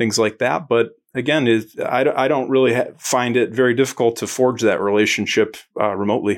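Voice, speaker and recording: On a very clean recording with a silent background, a man with an American accent uses a plain, everyday voice of medium pitch, fairly quick in pace and fairly even in intonation. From Joliet, Illinois, US. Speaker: health benefits insurance agent. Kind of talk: casual interview.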